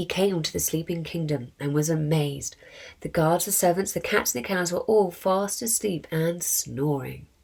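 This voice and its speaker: Speaking at a moderate pace, a woman uses an ordinary speaking voice, fairly low in pitch, with ordinary pitch variation. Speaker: charity co-founder. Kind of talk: children's story reading.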